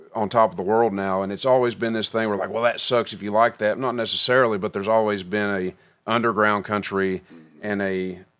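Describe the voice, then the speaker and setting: An American accent marks this man's fairly low voice, which runs at a fairly quick pace with fairly even intonation. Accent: mountain accent, kept on purpose. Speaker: country musician. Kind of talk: podcast interview. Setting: recording studio.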